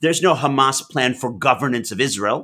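Bright and sharp in tone, a man with a New York accent talks at a moderate pace on a very clean recording with a silent background. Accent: New York American. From US Northeast (New York / Massachusetts). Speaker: Middle East analyst and author. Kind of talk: interview.

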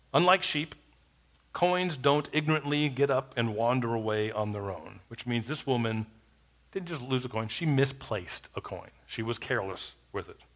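Lively intonation marks an unremarkable speaking voice moving at a moderate pace. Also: man, medium pitch for a man. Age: 40s. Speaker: pastor. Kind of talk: sermon.

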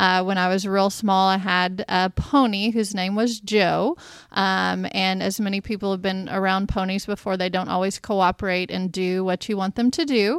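A woman with an American accent and a plain, everyday voice speaks at a medium pitch with fairly even intonation and hardly any pauses, recorded very cleanly against a silent background. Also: moderate pace. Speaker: state agriculture secretary, interviewer. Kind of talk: interview and casual chat. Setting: studio.

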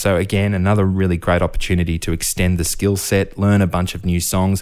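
Speaking fairly quickly with an Australian accent, a man's very deep, low voice comes through on a very clean recording with a silent background. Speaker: professional musician. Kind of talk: interview.

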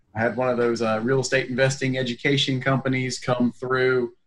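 This man has an ordinary speaking voice with an American accent. His pitch is medium and his pace moderate. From North Carolina, Raleigh area. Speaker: real estate investor. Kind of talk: casual interview chat.

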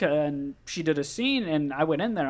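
A man with an unremarkable speaking voice talks at a moderate pace, his intonation lively. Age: 20s. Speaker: podcast guest. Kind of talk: casual chat.

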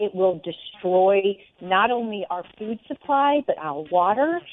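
Using ordinary pitch variation, an ordinary speaking voice proceeds at a fairly slow pace. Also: woman. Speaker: guest commentator. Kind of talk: interview discussion.

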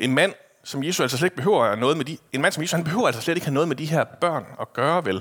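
A man talks at a very fast pace and a fairly high pitch. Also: lively intonation. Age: 30s. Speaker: preacher. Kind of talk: sermon. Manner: casual, hesitant with fillers.

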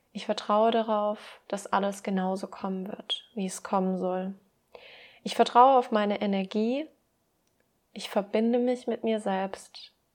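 A woman talks at a fairly slow pace in a calm, warm tone, with long, frequent pauses and a medium pitch. Her intonation stays fairly even, and the recording is very clean with a silent background. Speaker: podcast host and mindset coach. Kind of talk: pep talk with affirmations read aloud, guided meditation style. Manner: calm, warm, soothing; slow, gentle, reassuring, encouraging.

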